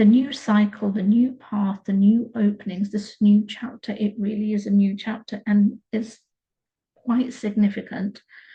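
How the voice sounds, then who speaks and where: The voice is somewhat breathy with a dark, mellow tone, speaking at a fairly slow pace in a monotone, flat intonation. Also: woman. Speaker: tarot reader. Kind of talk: tarot reading. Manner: slower than usual.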